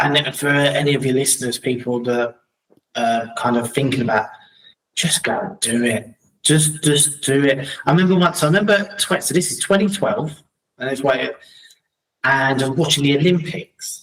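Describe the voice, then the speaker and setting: A man with a London accent speaks at a moderate pace, his fairly high pitch showing ordinary variation. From London, England (Battersea), later Crawley. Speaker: entrepreneur and speaker. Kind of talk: casual conversation.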